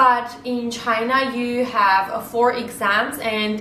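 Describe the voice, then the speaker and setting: A woman with an Armenian accent speaks at a very slow pace in a fairly high voice with fairly even intonation, with audible room echo and noticeable background noise. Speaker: vlogger. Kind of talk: informational vlog talk. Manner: halting with frequent fillers.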